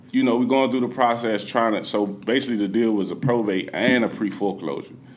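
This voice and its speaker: A man talks with an American accent, and audible echo fills the room. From Washington, D.C., Southeast. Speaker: real estate investor and meetup organizer. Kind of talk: podcast interview.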